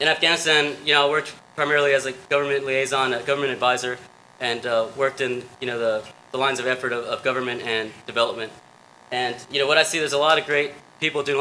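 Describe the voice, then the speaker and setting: A man speaks very fast in a flat, monotone delivery. There is light background noise. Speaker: presenter. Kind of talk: conference talk. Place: stage.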